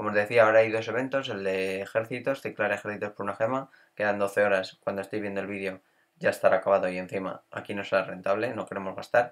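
Speaking at a very fast pace, a man keeps his fairly low pitch and fairly even intonation. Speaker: gaming youtuber. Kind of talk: gameplay commentary tutorial. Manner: casual, with hesitations.

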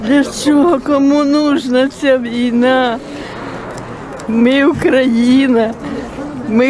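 A high-pitched woman talks at a very slow pace with ordinary pitch variation. The sound is dry with no echo, and background noise is noticeable. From Kyiv region, Ukraine. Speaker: evacuated villager. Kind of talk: interview answer. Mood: distressed, pleading. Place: street. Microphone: phone near.

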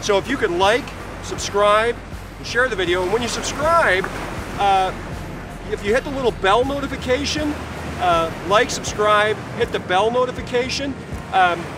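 With music in the background, a man speaks in a dry sound with no echo, leaving long, frequent pauses. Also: ordinary pitch variation, moderate pace. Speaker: photography vlogger. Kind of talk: casual vlog chat. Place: beach. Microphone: phone near.

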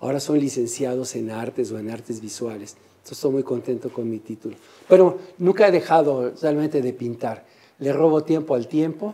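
At a moderate pace, a man speaks at a fairly high pitch in a dark, mellow tone, with big swings in loudness. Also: ordinary pitch variation. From Mexico City. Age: 70s. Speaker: painter and printmaker. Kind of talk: interview in artist's studio. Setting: artist's workshop. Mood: calm, reflective, warm. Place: workshop. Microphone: lapel.

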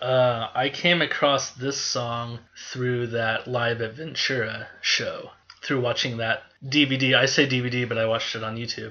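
With noticeable background noise behind him, a man talks at a fairly slow pace in a monotone, flat intonation. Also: medium pitch for a man. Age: 30s. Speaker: podcast guest, music fan. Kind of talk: casual chat.

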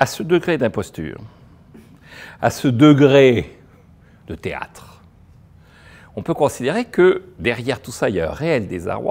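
A man's medium-pitched voice with vocal fry, very wide pitch swings, big swings in loudness, a very slow pace, and long, frequent pauses. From France. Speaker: economist; speaker. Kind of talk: lecture. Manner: animated. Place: hall. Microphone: lapel.

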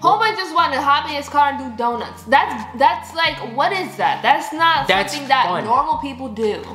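A woman's high voice with very wide pitch swings, moderate pace and hardly any pauses, in audible room echo with light background noise. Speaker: couple vlogger, co-host. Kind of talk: casual vlog chat. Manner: playful, teasing. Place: home room. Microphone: camera far.

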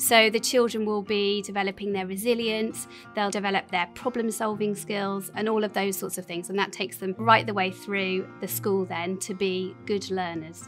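A woman at a moderate pace with hardly any pauses, faint music behind her. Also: ordinary pitch variation. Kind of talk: interview answer. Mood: warm, enthusiastic. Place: classroom.

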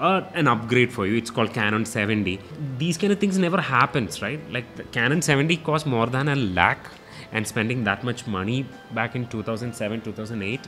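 A man speaks at a moderate speed while faint music sits in the background. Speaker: guest. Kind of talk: interview answer, storytelling. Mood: warm, amused storytelling. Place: studio. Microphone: studio mic.

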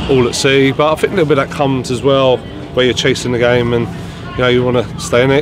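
A man speaks with a dry sound and no echo. Clear music plays in the background. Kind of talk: interview answer. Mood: disappointed, reflective. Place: stadium.

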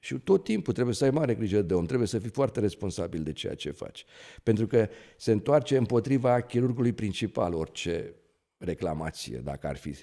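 Against a quiet background, a man with a dark, mellow tone and vocal fry talks at a fairly quick pace, his fairly low pitch making very wide swings. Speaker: neurosurgeon; guest. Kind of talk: interview. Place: studio. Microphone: studio mic.

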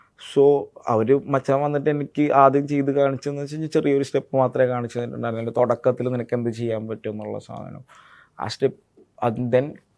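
The loudness swings a lot. The intonation stays flat and monotone. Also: man, medium pitch for a man. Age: 20s. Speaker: actor. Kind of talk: interview. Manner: halting, filler-heavy.

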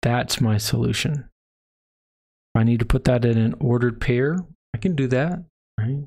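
A man with an American accent speaks in a somewhat breathy voice at a very even loudness. He leaves long, frequent pauses against a quiet background. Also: ordinary pitch variation, moderate pace. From Texas. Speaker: math instructor. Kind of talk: lecture. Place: home room.

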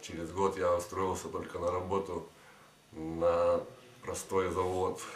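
A man speaks at a very slow pace in a very deep, low pitch with monotone, flat intonation. Audible room echo and light background noise come through. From Kyiv, Ukraine. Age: 20s. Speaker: former drug addict, clinic patient. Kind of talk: testimonial to camera. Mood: calm, grateful. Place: office.

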